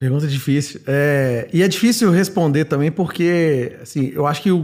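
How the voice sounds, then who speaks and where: A man speaks at a moderate pace with ordinary pitch movement, recorded very cleanly against a silent background. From Minas Gerais, Brazil (Belo Horizonte). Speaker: product manager. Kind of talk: podcast interview. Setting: company office.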